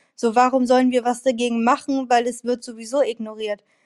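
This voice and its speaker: Recorded very cleanly against a silent background, with a dry, close sound and no echo, a woman speaks at a moderate pace in a high voice. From Bremen, northern Germany. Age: 20s. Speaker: student. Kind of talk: interview.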